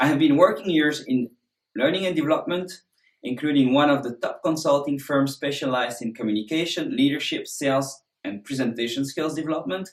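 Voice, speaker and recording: A man speaks with a French accent. His pace is fairly quick. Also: fairly high pitch for a man, ordinary pitch variation. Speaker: presentation skills instructor. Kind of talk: course introduction.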